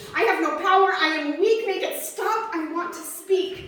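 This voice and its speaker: A fairly slow-speaking woman amid noticeable background noise. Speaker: slam poet. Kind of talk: slam poetry performance. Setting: live open mic.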